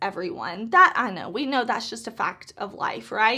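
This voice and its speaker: A woman's raised, projected voice, bright and sharp in tone, with very wide pitch swings on a very clean recording with a silent background. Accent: Mississippi. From US South, Mississippi. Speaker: beauty YouTuber. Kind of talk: casual vlog talk to camera.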